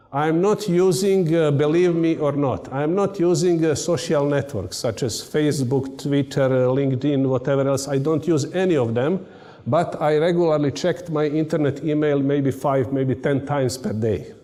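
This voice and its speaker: A man with a Serbian accent and a fairly high pitch talks at a moderate pace with hardly any pauses and very even loudness, amid audible room echo and noticeable background noise. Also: ordinary pitch variation. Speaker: university lecturer and radio amateur. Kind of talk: conference talk. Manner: halting.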